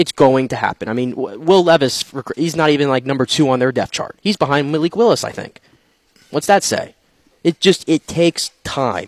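This man has an ordinary speaking voice, a fairly high pitch with ordinary pitch variation, and a moderate pace. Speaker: sports reporter co-host. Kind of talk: sports talk radio.

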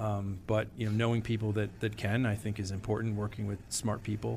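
In an American accent, a man with an unremarkable speaking voice talks at a fairly quick pace. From Connecticut, US. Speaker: accounting firm partner. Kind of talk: interview.

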